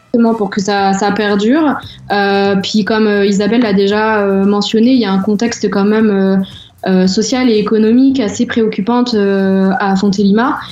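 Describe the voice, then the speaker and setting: Audible room echo colors a woman's medium-pitched voice at a moderate pace. Her loudness is very even and her intonation fairly even. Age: 20s. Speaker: association volunteer. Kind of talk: interview. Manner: halting.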